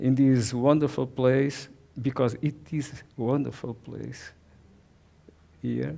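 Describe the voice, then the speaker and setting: A man speaks in a Portuguese accent with a medium pitch and a dark, mellow tone. His pace is very slow, with ordinary pitch variation. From southern Portugal. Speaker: watercolor painter. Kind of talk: presentation. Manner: halting.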